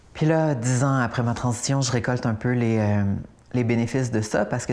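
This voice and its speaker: The speaker has a Quebec accent. The delivery moves at a fairly quick pace. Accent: Québécois French. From Quebec, Laurentides. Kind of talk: interview.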